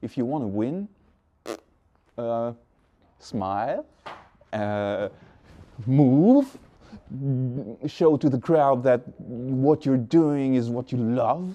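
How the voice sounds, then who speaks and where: A man with a French accent speaks at a very slow pace, leaving long, frequent pauses. His medium-pitched voice has a dark, mellow tone and ordinary pitch variation. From France. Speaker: beatboxer. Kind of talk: interview. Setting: backstage before a concert. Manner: halting.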